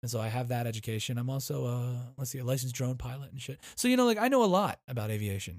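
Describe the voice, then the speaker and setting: A man talks very fast at a medium pitch, sounding somewhat breathy. The sound is dry and close, with no echo. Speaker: podcast host, former airport manager. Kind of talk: casual solo podcast monologue. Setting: home recording in bedroom. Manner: casual, profane, filler-heavy.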